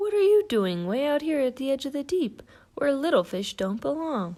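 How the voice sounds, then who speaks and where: A woman's put-on character voice, high-pitched with very wide pitch swings, at a moderate pace on a very clean recording with a silent background. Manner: booming.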